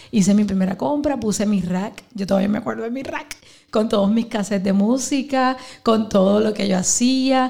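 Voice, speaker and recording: A woman talks in a normal speaking voice at a moderate pace. Her pitch varies in an ordinary way. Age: 40s. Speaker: pastor and businesswoman. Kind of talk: live podcast interview. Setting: live event with audience.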